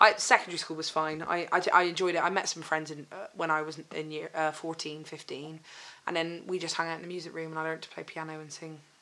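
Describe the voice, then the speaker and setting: A woman speaks at a very fast pace in a very deep, low pitch. Her intonation is monotone and flat, while her loudness swings widely. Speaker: stand-up comedian. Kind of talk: casual chat.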